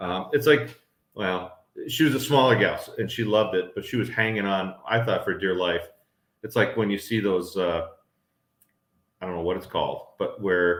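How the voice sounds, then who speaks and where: A plain, everyday voice: a man with an American accent, fairly low pitch and a moderate pace. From northern US. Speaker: homestead vlogger. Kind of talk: live stream chat.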